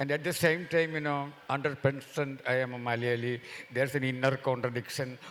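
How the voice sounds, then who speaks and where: A man with a Keralan accent talks in a fairly high pitch. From India, Kerala (Mahe). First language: Malayalam. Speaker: novelist. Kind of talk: festival panel discussion.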